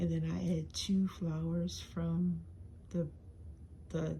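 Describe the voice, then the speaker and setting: A woman is speaking. She whispers the whole time. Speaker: crafter showing swap items. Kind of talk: show-and-tell video. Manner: whispering; hesitant, many fillers.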